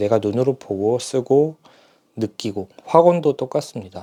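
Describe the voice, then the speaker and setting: Dry and close with no echo, a man's dark, mellow voice moves at a fairly slow pace with ordinary pitch variation. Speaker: stuttering practice speaker. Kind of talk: casual talk to camera. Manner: hesitant, with filler sounds.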